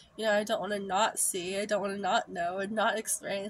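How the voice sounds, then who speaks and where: A woman's voice with fairly even intonation. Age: 30s. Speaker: vlogger. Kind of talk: personal storytelling monologue. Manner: frequent laughter. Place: home room. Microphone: phone near.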